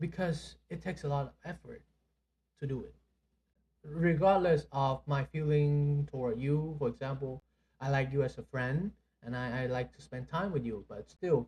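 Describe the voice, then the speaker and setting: The speaker is a man with a somewhat breathy voice. His tone is dark and mellow. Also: ordinary pitch variation, moderate pace. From Vietnam. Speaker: podcast co-host. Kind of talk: casual chat. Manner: halting, many fillers.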